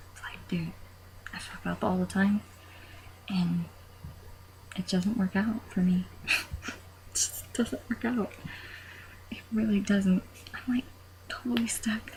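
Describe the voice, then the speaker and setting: Soft-spoken, a woman talks at a very slow pace with long, frequent pauses and big swings in loudness. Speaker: knitter. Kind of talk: casual talk to camera. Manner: quiet, soft-spoken.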